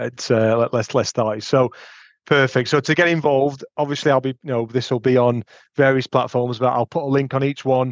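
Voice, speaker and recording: Spoken at a fairly quick pace with a Yorkshire accent, the voice keeps fairly even intonation and very even loudness, with a dry, close sound, no echo and a quiet background. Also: man, medium pitch for a man. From Sheffield, northern England. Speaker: podcast host, recruitment company director. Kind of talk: casual chat.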